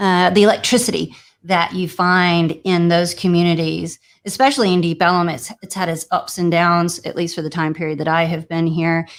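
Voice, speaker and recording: A woman with a Louisiana accent speaks at fairly low pitch and a moderate pace. Her intonation is fairly even, and the recording is very clean with a silent background. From Louisiana, New Orleans family. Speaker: real estate agent and broker, former attorney. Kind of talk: interview.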